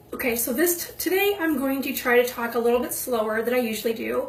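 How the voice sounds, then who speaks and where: A high-pitched woman's voice with ordinary pitch variation comes through audible room echo and noticeable background noise. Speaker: makeup video creator. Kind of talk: makeup tutorial.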